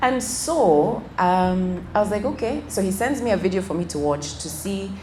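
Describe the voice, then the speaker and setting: At a moderate pace, a medium-pitched woman speaks with lively intonation, with audible room echo and noticeable background noise. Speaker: financial wellness speaker. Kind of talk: motivational talk. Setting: event with audience.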